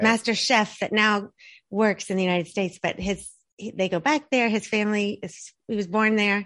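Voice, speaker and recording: A plain, everyday voice speaks at a moderate pace with fairly even intonation. The background is quiet. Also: woman, medium pitch for a woman. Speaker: marketing agency founder. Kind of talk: interview.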